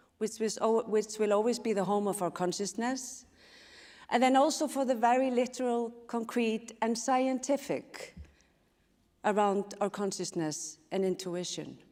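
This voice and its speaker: A woman speaks with a dark, mellow tone at a fairly high pitch and a fairly slow pace, with ordinary pitch variation. The recording is very clean, with a silent background. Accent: Icelandic. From Iceland. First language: Icelandic. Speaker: speaker on intuition and systems change. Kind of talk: conference talk.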